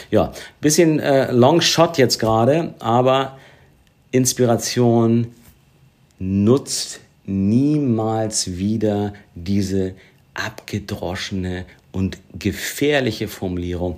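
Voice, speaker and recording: Speaking at a very slow pace with long, frequent pauses, a man with a medium-pitched voice and lively intonation comes through on a very clean recording with a silent background. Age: 50s. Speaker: podcast co-host. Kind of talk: casual chat.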